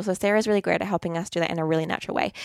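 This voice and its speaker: A woman is heard with a dry, close sound and no echo. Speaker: podcast host and graphic designer. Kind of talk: interview. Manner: fast.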